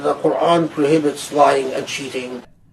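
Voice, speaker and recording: Through noticeable background noise, a man speaks at a fairly slow pace. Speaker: Islamic scholar of the Qur'an. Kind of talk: interview answer, scholarly.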